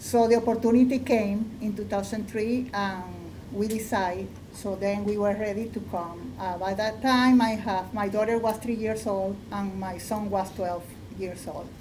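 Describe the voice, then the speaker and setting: A woman with a Spanish accent talks at a moderate pace and medium pitch in a flat monotone, with audible room echo and noticeable background noise. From Venezuela. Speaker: artist. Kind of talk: panel discussion.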